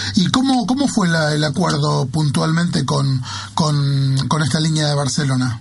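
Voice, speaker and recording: Amid noticeable background noise and audible room echo, a man talks at a fairly slow pace and fairly high pitch, with ordinary pitch variation and very even loudness. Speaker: radio host. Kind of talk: radio sports show. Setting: radio studio.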